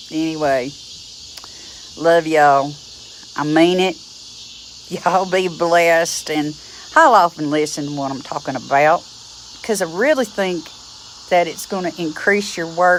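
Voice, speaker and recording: With an Appalachian accent, a woman talks at a fairly slow pace and fairly low pitch with ordinary pitch variation and long, frequent pauses over noticeable background noise. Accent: Appalachian drawl. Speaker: druid teacher. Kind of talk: teaching talk to camera. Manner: blunt, feisty.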